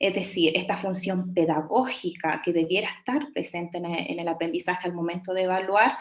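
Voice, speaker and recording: A woman's medium-pitched voice with hardly any pauses and an audible room echo. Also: ordinary pitch variation, fairly quick pace. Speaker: education researcher and teacher. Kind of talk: webinar lecture. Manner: hesitant, many fillers.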